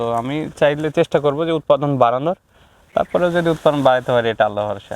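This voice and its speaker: With an ordinary speaking voice, a man talks at a fairly high pitch and ordinary pitch variation. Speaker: young date-jaggery producer. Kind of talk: interview.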